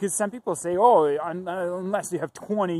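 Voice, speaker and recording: A man speaks with a high pitch and a dark, mellow tone. The recording is very clean, with a silent background. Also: dry, close sound with no echo. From Ukraine. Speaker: real estate investor and YouTuber. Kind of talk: casual vlog talk to camera. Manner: halting, with fillers and restarts.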